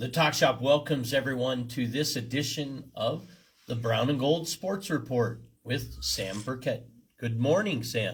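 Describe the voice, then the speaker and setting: A man talks at a fairly slow pace with medium pitch and ordinary pitch variation. Vocal fry runs through his voice. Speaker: radio host. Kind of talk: casual chat. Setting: studio.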